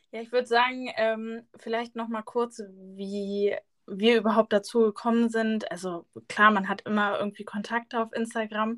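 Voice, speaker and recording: A woman's fairly high voice with fairly even intonation at a moderate pace. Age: 20s. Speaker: podcast co-host, student teacher. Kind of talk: casual chat.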